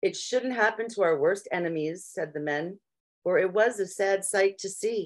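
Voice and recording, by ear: A natural voice reading aloud over a quiet backdrop.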